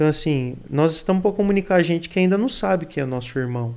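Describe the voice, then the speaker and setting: A man speaks at a fairly quick pace with high pitch. His intonation is lively. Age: 20s. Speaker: youth pastor and seminary student. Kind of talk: casual chat.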